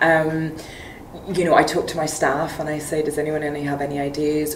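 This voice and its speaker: Speaking at a fairly quick pace with a Northern Irish accent, a woman with a very deep, low pitch is heard amid audible room echo and noticeable background noise. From Northern Ireland. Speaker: magazine editor and poet. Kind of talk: interview. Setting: literary festival, during a break. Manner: hesitant, many fillers.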